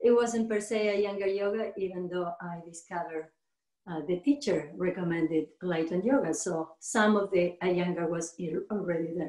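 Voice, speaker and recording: Speech in a Spanish accent runs at a moderate pace with ordinary pitch variation. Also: woman, fairly low pitch for a woman. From Argentina. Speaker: yoga teacher. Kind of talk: interview. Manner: halting.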